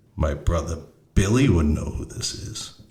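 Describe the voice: The voice is a put-on character. Its tempo is moderate. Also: man, very deep, low pitch for a man.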